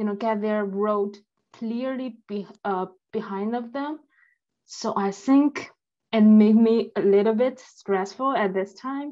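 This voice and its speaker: A woman speaks with a Chinese accent at a fairly high pitch, her tone dark and mellow. The background is quiet. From China. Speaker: master's student, audience member. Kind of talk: question from audience. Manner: halting.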